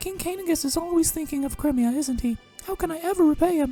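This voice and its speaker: Faint music plays in the background as a squeaky, high-pitched, put-on character voice races along at a very fast pace. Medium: solo performance. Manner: soft, formal.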